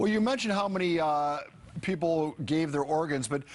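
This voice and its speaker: At a fairly quick pace, a man speaks in an unremarkable speaking voice, fairly high in pitch with ordinary pitch variation. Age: 60s. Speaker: TV news anchor. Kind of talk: live TV interview.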